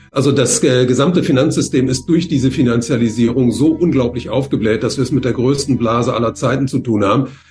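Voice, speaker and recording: Music plays in the background as the speaker talks at a fairly quick pace with hardly any pauses. Loudness stays very even, and intonation is fairly even. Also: man, medium pitch for a man. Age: 70s. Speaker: economist and author. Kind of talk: interview. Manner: hesitant, frequent fillers.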